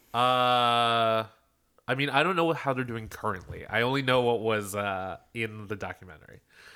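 In a very clean recording with a silent background, a man with an American accent talks at a moderate pace, with a medium pitch and a bright, sharp tone. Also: ordinary pitch variation. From Philadelphia. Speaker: podcast co-host. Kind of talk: casual chat. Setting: home.

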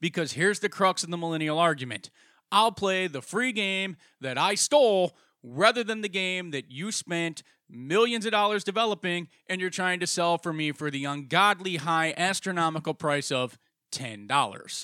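In an angry tone, a man with a bright, sharp sound and high pitch speaks at a moderate pace with lively intonation, the recording dry and close with no echo, very clean, and with a silent background. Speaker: podcast host. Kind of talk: angry rant, opinionated commentary. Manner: angry, sarcastic, profane; animated, emphatic, mocking.

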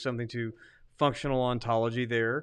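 A man mumbles in a monotone, flat delivery, with a quiet background. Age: 40s. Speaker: podcast co-host, theologian. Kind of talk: casual chat. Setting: livestream studio. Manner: mumbling.

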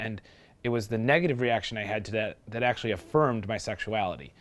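A man speaks with an American accent at a very fast pace, with ordinary pitch variation. The recording is very clean, with a silent background. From Milwaukee, Wisconsin. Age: 20s. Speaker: interviewee. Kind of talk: testimony.

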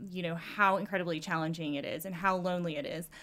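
Recorded very cleanly against a silent background, a woman with an ordinary speaking voice talks at a fairly low pitch with fairly even intonation. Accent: American. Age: 30s. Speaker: political candidate. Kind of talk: casual interview.

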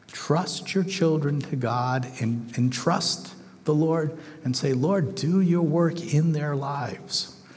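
Over noticeable background noise and audible room echo, a man with fairly high pitch speaks very slowly with ordinary pitch variation. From northern England, Manchester. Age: 60s. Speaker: missionary. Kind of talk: sermon.

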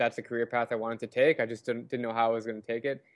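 The speaker is a man with an American accent and a medium pitch. He delivers his words in a flat, monotone way. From Arizona, US. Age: 20s. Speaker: travel blogger. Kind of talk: interview. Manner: casual.

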